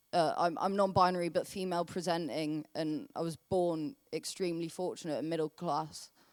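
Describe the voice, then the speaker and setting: Over a very clean recording with a silent background, a woman speaks at a moderate pace in a fairly low voice with ordinary pitch variation. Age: 20s. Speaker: climate activist. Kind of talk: panel discussion. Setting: stage with audience. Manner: halting.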